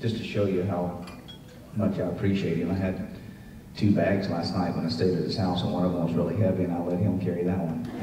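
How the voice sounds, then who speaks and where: A man's very deep, low voice at a fairly quick pace, with fairly even intonation, audible room echo, and light background noise. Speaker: guest. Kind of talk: speech with a personal anecdote. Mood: warm, humorous storytelling. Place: hall.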